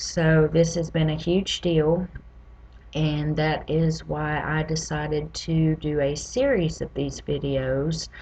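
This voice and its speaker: Speaking at a very slow pace, a woman talks with a Southern US accent. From US South (Louisiana, Mississippi, Tennessee). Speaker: patient advocate. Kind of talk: personal vlog testimony.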